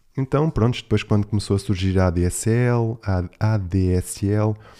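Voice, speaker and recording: A man's fairly low voice with a dark, mellow tone and ordinary pitch variation, in a European Portuguese accent, on a very clean recording with a silent background. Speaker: podcast host. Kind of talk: casual solo monologue.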